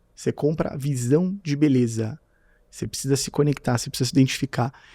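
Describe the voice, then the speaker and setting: In a very clean recording with a silent background and a dry, close sound free of echo, a man with a fairly high voice talks at a fairly quick pace in an animated tone. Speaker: podcast host and marketing mentor. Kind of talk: interview podcast. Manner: talkative, animated.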